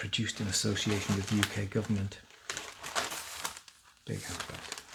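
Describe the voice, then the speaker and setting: A soft-spoken man at a fairly low pitch, moderate pace, with noticeable background noise. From Northern England. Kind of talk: ASMR newspaper reading.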